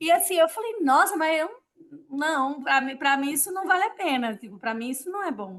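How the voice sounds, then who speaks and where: Her voice high, a woman talks at a moderate pace with very wide pitch swings and big swings in loudness. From Brazil, interior of Rio Grande do Norte (sertão). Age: 40s. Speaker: Brazilian expat returned home, innkeeper. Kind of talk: casual interview.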